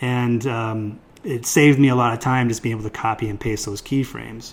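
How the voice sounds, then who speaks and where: Speaking in a plain, everyday voice, a man keeps a medium pitch and fairly even intonation. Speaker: software tutorial instructor. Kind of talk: tutorial. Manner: casual, many fillers.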